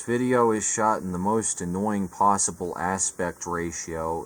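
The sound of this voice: This man has a fairly low pitch that varies in an ordinary way.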